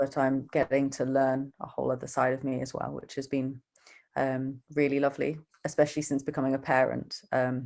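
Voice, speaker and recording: With a British accent, a woman speaks in a very deep, low voice with monotone, flat intonation. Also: fairly quick pace. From UK. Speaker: donor-conceived adult. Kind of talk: casual interview chat.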